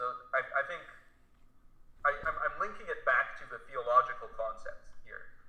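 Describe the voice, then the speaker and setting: A man talks at a moderate pace. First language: not English. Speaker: philosopher and YouTuber. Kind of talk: casual chat.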